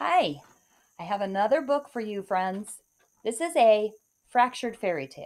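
Behind this voice, all is quiet. The text is read aloud in a natural voice.

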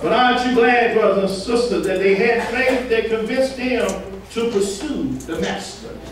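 At a moderate pace, a man with an extremely high pitch speaks with ordinary pitch variation, and audible room echo can be heard.

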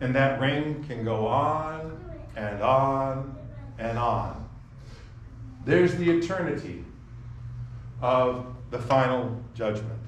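A man speaks very slowly, leaving long, frequent pauses, with ordinary pitch variation. Audible room echo and light background noise are present. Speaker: preacher. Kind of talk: sermon. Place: church. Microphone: camera far.

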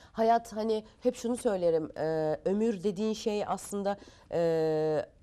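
This woman's voice has a dark, mellow tone. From France until age 10, then Turkey. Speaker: guest. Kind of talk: talk show interview. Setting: TV studio. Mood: earnest, reflective. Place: studio. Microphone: lapel.

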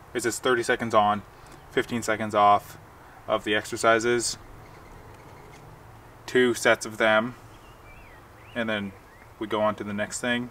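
A man with a fairly low pitch and a bright, sharp tone, at a fairly slow pace with little pitch movement and long, frequent pauses

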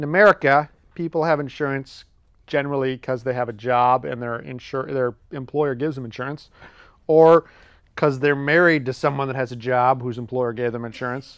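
Fairly quick speech from a man with fairly even intonation, a dry sound with no echo, and a quiet background. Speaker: show host. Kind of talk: comedic explainer monologue. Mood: jokey, wry. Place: studio.

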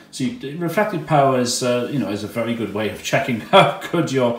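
A man at a fairly quick pace, ordinary pitch variation, with audible room echo. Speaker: radio hobbyist. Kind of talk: tutorial. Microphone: phone near.

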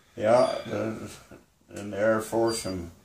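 Noticeable background noise accompanies delivery at a fairly slow pace. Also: man. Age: 80s+. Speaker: fire lookout tower ranger and Air Force veteran. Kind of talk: interview answer. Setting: fire lookout tower on a mountain peak. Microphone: phone near.

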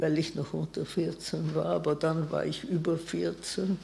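Very slow speech from a woman. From Vienna, Austria; Austria. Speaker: Holocaust survivor, physician, eyewitness; witness. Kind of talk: eyewitness talk. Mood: calm, reflective.

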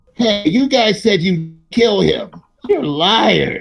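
A put-on character voice sits at a middle pitch. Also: very slow pace. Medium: actual play. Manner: annoyed, scornful.

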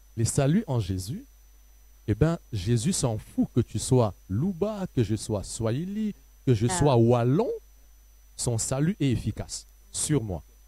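Very slowly, with long, frequent pauses, a man speaks in a dark, mellow, somewhat breathy tone with very wide pitch swings and a dry sound with no echo. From DR Congo. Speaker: pastor. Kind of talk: panel discussion. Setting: studio. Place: stage. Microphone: handheld.

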